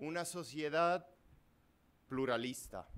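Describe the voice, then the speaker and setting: A man with a non-native accent and lively intonation. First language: Italian (speaking Spanish). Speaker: law professor. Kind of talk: lecture. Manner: reading aloud; halting.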